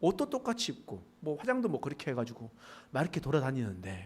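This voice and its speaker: Male speech with vocal fry at a fairly quick pace. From rural Pohang area, North Gyeongsang, South Korea. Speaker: pastor. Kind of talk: sermon. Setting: church service.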